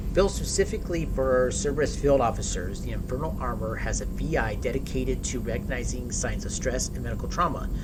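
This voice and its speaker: A man's voice amid audible room echo, with music in the background. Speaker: video game streamer. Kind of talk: live gameplay stream, reading in-game text aloud. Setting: live stream. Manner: stumbling on words.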